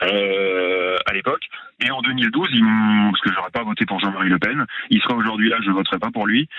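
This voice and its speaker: This man's voice is fairly low, with fairly even intonation. He talks at a fairly quick pace. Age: 40s. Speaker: caller, salesman. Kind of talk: radio call-in. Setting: phone call. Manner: halting.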